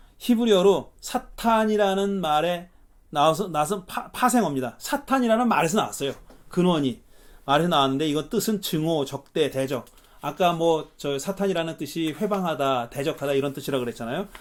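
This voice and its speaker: A man talks at a fairly quick pace. His high voice has lively intonation. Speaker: pastor. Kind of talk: lecture. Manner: fast; casual, colloquial.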